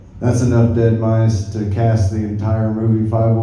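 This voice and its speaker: A man with a fairly low pitch talks at a fairly slow pace, with audible room echo and noticeable background noise. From rural US South. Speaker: stand-up comedian. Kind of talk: stand-up. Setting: stage with audience.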